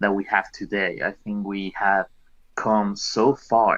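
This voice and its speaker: Against a quiet background, a man with a non-native accent speaks fairly slowly in a fairly low, monotone voice with flat intonation. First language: not English. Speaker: voice chat participant. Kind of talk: casual group discussion.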